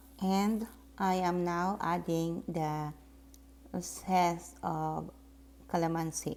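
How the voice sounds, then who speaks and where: A woman at a very slow pace, with long, frequent pauses. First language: Tagalog. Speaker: soap maker. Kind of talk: tutorial voiceover.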